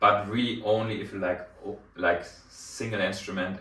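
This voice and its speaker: A man's fairly low-pitched voice with a German accent, audible room echo and noticeable background noise. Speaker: hi-fi reviewer. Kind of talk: product review. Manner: hesitant with many fillers.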